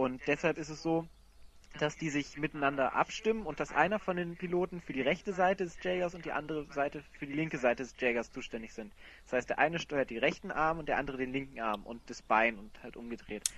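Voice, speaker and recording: At a very fast pace, a man with a fairly high pitch speaks with lively intonation and big swings in loudness. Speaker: podcast host, film discussion panelist. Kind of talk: casual film discussion. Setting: online call.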